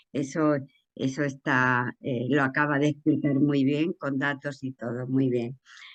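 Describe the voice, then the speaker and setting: A woman speaks at a fairly slow pace. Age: 70s. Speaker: audience member asking a question. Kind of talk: Q&A question at online talk. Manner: halting.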